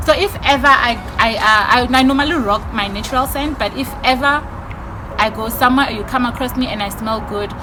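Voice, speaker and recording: A woman's loud, high voice at a moderate pace with ordinary pitch variation, amid audible room echo and noticeable background noise. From South Africa, Limpopo and Mpumalanga. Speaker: YouTuber. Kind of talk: casual Q&A vlog.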